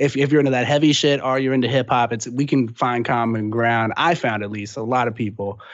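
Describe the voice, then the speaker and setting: A man with a plain, everyday voice talks with fairly even intonation and hardly any pauses. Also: medium pitch for a man, fairly quick pace. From Texas, San Antonio. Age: 20s. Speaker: rapper. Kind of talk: casual interview. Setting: phone call.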